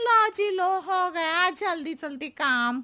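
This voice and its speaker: A cartoonish character voice, female-sounding and extremely high-pitched, moves at a fairly slow pace. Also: very clean recording, silent background. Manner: roundabout, riddling.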